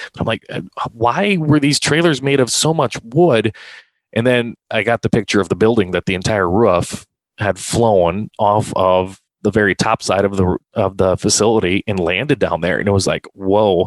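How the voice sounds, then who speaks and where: A man with an Upper Midwest accent speaks at a moderate pace in a fairly low pitch with lively intonation. The sound is dry and close, with no echo. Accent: Upper Midwest American. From South Dakota, Sioux Falls area. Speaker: racetrack announcer. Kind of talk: casual interview. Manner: halting, many fillers.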